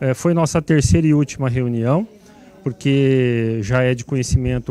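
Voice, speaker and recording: Here a man speaks at a moderate pace and medium pitch, with ordinary pitch variation. He has an unremarkable speaking voice. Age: 60s. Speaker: city councillor. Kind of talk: TV interview; committee meeting closing remarks.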